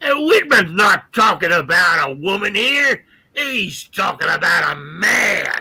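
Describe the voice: A man puts on a gravelly, high-pitched character voice with very wide pitch swings. He speaks at a fairly slow pace.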